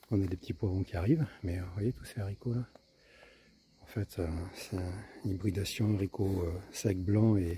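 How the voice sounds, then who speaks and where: A soft-spoken man with a fairly low pitch and a dark, mellow tone talks at a moderate pace with ordinary pitch variation. His loudness swings widely, and he takes long, frequent pauses. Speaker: home gardener, video maker. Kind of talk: casual garden tour vlog. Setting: outdoors in vegetable garden. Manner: soft, quiet speaking; hesitant, many fillers.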